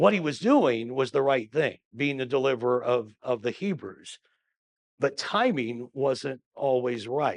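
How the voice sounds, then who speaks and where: A man with an ordinary speaking voice talks at a fairly slow pace. His pitch is medium, with ordinary variation. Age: 60s. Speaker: pastor. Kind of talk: bible study teaching. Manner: conversational, with many fillers.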